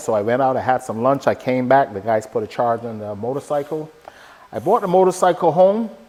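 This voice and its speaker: A man speaks at medium pitch and a fairly quick pace. Noticeable background noise is present. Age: 60s. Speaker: motorcycle vlogger. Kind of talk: casual vlog talk to camera. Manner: conversational with fillers.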